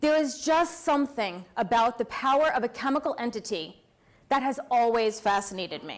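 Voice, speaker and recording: Loud and high-pitched, a woman talks at a moderate pace with lively intonation. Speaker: pharmacist and nursing school lecturer. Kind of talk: award talk to an audience.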